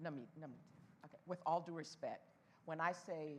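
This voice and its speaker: Her voice sits at a very deep, low pitch for a woman, delivered at a fairly quick pace with fairly even intonation. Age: 70s. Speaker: panelist at professional association event. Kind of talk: panel Q&A discussion. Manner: emphatic.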